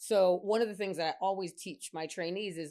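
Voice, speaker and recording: A woman's animated tone with ordinary pitch variation. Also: very clean recording, silent background. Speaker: physician, women's health specialist. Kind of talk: interview chat. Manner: fast.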